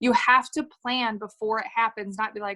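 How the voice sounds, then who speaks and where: A woman is speaking. The background is quiet. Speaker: network marketing distributor. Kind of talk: video call interview. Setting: video call. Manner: animated.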